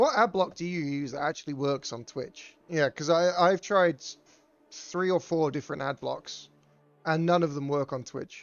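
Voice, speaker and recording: With a West Country accent, a man talks at a moderate pace in a fairly high voice. His pitch varies in an ordinary way, with music in the background. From England (Bristol). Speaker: game streamer and tournament caster. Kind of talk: live game commentary mixed with chat to viewers. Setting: live stream. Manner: casual, swearing, halting with restarts.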